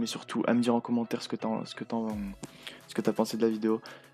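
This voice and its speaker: A man at a very fast pace, monotone and flat, with music in the background. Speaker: gaming youtuber. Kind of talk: tutorial. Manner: halting, many hesitations; casual.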